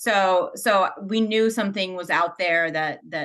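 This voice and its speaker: A woman speaks with a bright, sharp tone. Her intonation stays fairly even. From Ukraine, Kyiv. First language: Ukrainian or Russian. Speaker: school administrator. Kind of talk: interview. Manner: hesitant, many fillers and repetitions.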